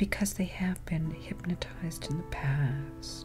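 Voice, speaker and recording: A woman speaks at a fairly slow pace while music plays in the background. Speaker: certified hypnotherapist. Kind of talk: ASMR relaxation talk about hypnosis. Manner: whispered, soft, slow.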